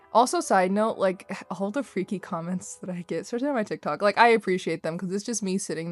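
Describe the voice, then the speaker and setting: A woman with a medium pitch talks at a fairly quick pace with lively intonation. Music sits in the background. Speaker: artist chatting over speedpaint. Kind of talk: casual chat. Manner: rambling, fast.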